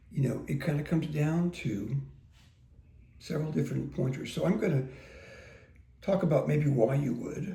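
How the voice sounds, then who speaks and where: In a room with audible echo, a man speaks in a relaxed, dark, mellow tone with vocal fry, ordinary pitch variation, and long, frequent pauses. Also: fairly high pitch for a man, moderate pace. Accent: American. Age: 60s. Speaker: guitar teacher. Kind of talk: casual talk to camera. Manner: relaxed, conversational with fillers.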